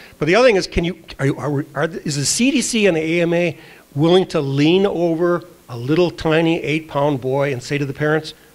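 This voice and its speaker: A man talks at a moderate pace, pitched fairly high with ordinary variation. Background noise is noticeable. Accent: American. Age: 60s. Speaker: director of a medical advocacy group. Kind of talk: Q&A session answer.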